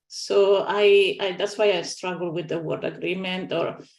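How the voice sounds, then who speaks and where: The pace is fairly slow. A woman speaks in a non-native accent. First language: not English. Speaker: scientific advisory panel member. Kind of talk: panel meeting discussion.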